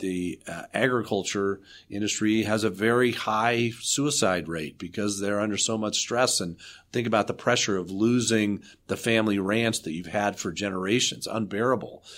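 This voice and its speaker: A man with a normal speaking voice talks at a moderate pace in a fairly low pitch with fairly even intonation, recorded very cleanly against a silent background. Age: 60s. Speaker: architect and development authority CEO. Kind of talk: interview.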